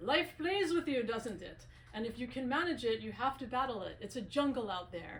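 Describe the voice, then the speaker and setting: With lively intonation and a fairly quick pace, a woman speaks in a plain, everyday voice. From US, Italian-American family. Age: 50s. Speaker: author and filmmaker. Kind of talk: book talk.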